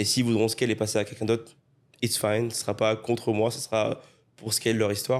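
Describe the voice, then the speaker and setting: The recording is very clean, with a silent background. A man at medium pitch talks at a fairly quick pace in a monotone, flat intonation. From Réunion island. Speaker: webinar agency owner, guest. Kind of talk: casual interview chat.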